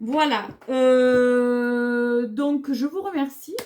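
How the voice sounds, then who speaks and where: A high-pitched woman's voice with a southern French accent. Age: 30s. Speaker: beauty vlogger. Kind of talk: casual haul video talk. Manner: hesitant, many fillers.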